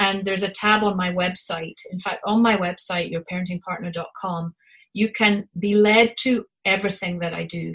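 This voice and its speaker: Woman in a Scottish accent, medium pitch, monotone, flat intonation and a moderate pace. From Scotland. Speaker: parent coach. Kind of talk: interview chat about parenting.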